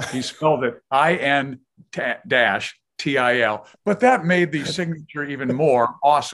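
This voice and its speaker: Here is a man with an unremarkable speaking voice and a fairly high pitch. His intonation is lively. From Kansas City, US Midwest. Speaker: retired sports broadcaster and author. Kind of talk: interview, casual chat.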